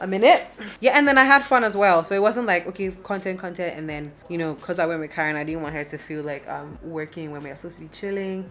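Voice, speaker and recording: Speaking at a very fast pace, a woman swings widely in loudness over light background noise. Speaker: vlogger. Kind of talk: casual vlog chat. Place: home room. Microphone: phone near.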